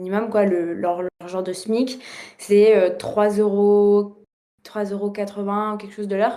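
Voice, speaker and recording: At a moderate pace, a woman talks with a medium pitch. Her intonation is monotone and flat. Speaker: former exchange student. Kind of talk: casual podcast interview. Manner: hesitant, many fillers.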